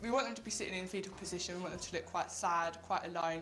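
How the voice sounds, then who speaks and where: With an Essex accent, a woman with a fairly low pitch speaks at a very fast pace over noticeable background noise. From England, Essex. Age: young. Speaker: abuse survivor, youth campaigner. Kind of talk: news interview.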